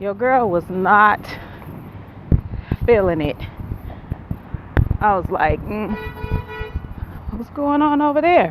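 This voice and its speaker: A loud woman with an American accent and a fairly high pitch, very slow with long, frequent pauses and very wide pitch swings, over noticeable background noise. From Buffalo, New York. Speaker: vlogger and graduate student. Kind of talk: casual vlog talk. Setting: outdoors, walking in neighborhood.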